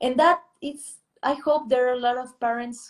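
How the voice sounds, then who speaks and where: A woman speaks with a Spanish accent in a high pitch and ordinary pitch variation, on a very clean recording with a silent background. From Peru, Lima. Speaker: artist and illustrator. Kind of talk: interview conversation. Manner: halting.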